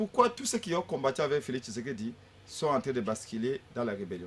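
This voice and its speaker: The man's pitch swings very wide. There is a somewhat breathy quality to his voice. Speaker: opposition politician. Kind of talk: political talk show debate. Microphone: far from the mic.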